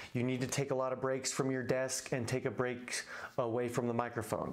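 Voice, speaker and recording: Noticeable background noise along with audible room echo. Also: man. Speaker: YouTube tutorial host. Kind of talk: tutorial. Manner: fast.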